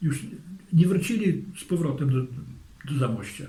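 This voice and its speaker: Somewhat breathy and dark, mellow in tone, a man's voice comes through. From Zamość, Poland. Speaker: war witness. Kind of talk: interview answer.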